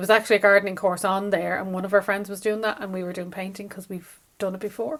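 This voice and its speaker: A woman with a Dublin accent at medium pitch, very fast and animated, with hardly any pauses and big swings in loudness. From Ireland, Dublin. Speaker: craft vlogger and shop owner. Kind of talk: casual vlog chat. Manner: chatty, animated.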